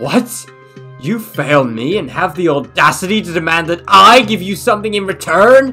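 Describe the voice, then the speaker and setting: A cartoonish character voice at a middle pitch moves at a moderate pace. Faint music plays in the background. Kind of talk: cartoon villain acting. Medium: audio drama. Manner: furious, shouting, imperious.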